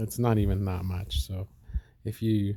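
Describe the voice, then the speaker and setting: Monotone and flat, a man speaks with a dark, mellow tone at a fairly low pitch. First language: Spanish. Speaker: silver collector video host. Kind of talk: casual vlog. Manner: hesitant, many fillers.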